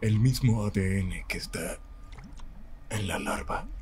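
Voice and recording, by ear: The pace is very slow. The voice is a put-on character one. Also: man.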